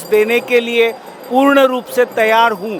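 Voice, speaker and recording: A man's extremely high-pitched voice with a Marathi accent, over noticeable background noise. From Maharashtra, India. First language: Marathi (speaking Hindi). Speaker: vastu consultant and astrology business promoter. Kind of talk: interview. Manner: formal.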